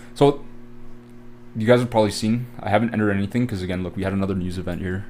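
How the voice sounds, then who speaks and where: Speaking at a fairly quick pace, a man with a Canadian accent has a fairly low pitch. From Canada. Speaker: trading educator. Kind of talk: live trading tutorial. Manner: casual, filler-heavy.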